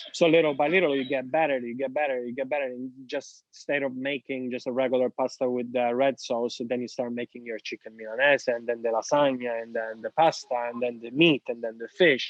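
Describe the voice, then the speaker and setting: Speaking with an Italian accent, the voice moves at a fairly quick pace with hardly any pauses and fairly even intonation. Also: man, medium pitch for a man. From Sicily, Italy. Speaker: real estate agent. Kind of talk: podcast interview.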